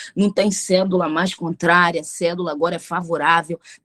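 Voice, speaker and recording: A woman speaks in a fairly low pitch at a moderate pace. Her tone is animated. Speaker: pastor. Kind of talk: bible study teaching.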